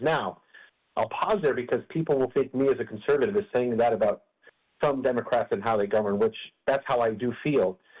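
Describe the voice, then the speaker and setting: A man with an American accent talks at a fairly quick pace in a plain, everyday voice of medium pitch. His intonation is lively while his loudness stays very even. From Colorado. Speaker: opinion writer. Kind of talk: radio interview answer.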